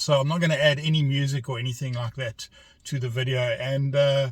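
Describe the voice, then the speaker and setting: A man speaks with a South African accent. His pitch is fairly high and his voice somewhat breathy. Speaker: vlogger. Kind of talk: casual narration while driving. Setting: in a car.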